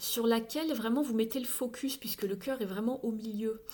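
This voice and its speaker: A dark, mellow tone at a fairly slow pace. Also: woman. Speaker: tarot card reader. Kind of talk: tarot reading. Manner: halting.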